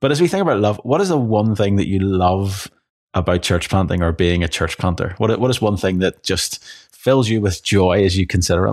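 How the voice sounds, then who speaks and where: This man's fairly low voice moves through ordinary pitch variation. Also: fairly quick pace. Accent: Irish. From Ireland. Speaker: podcast host and rural church planter. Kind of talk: casual podcast chat.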